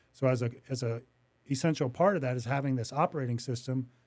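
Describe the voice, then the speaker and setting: A man speaks at a fairly quick pace with a medium pitch. The recording is very clean, with a silent background. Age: 60s. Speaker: business owner. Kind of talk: interview. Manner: halting, with frequent repetitions.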